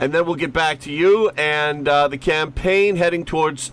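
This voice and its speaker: A fairly high-pitched man's voice amid noticeable background noise. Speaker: radio host. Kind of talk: radio interview. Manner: halting, many fillers.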